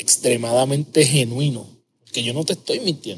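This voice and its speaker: A man speaks at a moderate pace, somewhat breathy. His pitch varies in an ordinary way. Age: 30s. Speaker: podcast host, habits coach. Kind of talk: casual interview chat; scripted intro.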